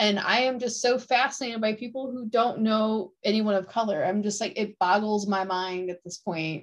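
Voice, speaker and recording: A woman with an American accent, a normal speaking voice, a fairly high pitch, ordinary pitch variation, a moderate pace and hardly any pauses. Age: 40s. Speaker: podcast host and writer. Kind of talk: casual chat.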